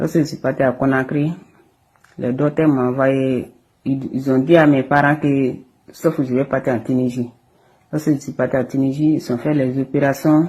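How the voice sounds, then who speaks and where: A woman speaks in a very deep, low voice with a flat, monotone delivery. Her speech is broken by long, frequent pauses. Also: moderate pace. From Guinea. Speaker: acid attack victim. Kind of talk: testimony. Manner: halting.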